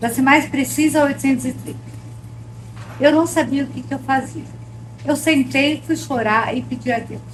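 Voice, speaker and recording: Over noticeable background noise, the voice moves at a fairly slow pace. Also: woman. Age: 60s. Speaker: baking course student. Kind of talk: testimony.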